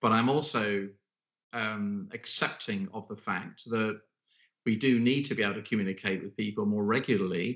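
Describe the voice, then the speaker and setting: A man with a British accent talks at a moderate pace, his fairly low voice keeping a fairly even intonation. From Britain. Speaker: podcast host and leadership consultant. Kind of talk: interview podcast conversation.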